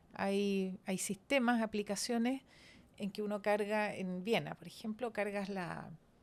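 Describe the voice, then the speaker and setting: The woman's pitch sits in the medium range. Her delivery is very slow. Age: 70s. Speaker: transport engineer and former government minister. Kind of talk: podcast interview.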